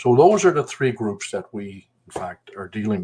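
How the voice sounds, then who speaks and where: The speaker has a slight Newfoundland accent and keeps a moderate pace. Pitch varies in an ordinary way. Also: man. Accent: slight Newfoundland twang. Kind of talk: casual chat. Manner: halting, many fillers.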